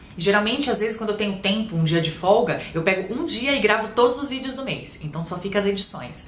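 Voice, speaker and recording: With very wide pitch swings and a fairly high pitch, a woman talks at a fairly quick pace over noticeable background noise and audible room echo. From Brazil, São Paulo. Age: 30s. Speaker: beauty blogger and vlogger. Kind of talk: casual Q&A vlog. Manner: chatty, informal.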